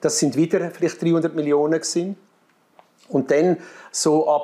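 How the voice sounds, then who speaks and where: A man speaks with a Graubünden accent. His tone is dark and mellow. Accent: marked Graubünden Swiss German dialect. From Switzerland, Graubünden. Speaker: missionary. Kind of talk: interview. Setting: studio.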